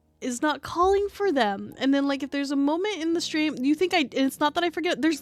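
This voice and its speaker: Ordinary pitch variation marks a woman's high-pitched speech. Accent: American. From US. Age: 30s. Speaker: streamer. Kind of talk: casual chat. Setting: live stream. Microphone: sits very close to mic.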